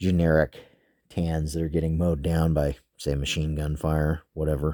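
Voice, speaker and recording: On a very clean recording with a silent background, a man with a very deep, low pitch speaks in a monotone, flat intonation with a dry, close sound and no echo. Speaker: toy soldier hobbyist youtuber. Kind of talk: casual tutorial. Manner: casual, filler-heavy.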